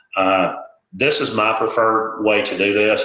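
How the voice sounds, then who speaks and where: There is audible room echo as a man speaks. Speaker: EMT instructor, retired firefighter paramedic. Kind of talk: recorded lecture. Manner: hesitant, many filler words.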